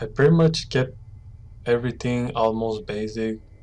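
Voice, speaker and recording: A man at a very slow pace, with audible room echo. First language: not English. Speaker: 3D artist. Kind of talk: tutorial. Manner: halting.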